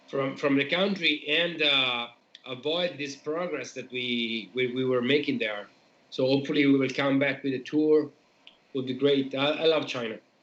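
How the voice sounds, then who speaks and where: A man with an Italian accent speaks at a moderate pace, his intonation fairly even. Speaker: metal band member. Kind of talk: casual chat. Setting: live stream.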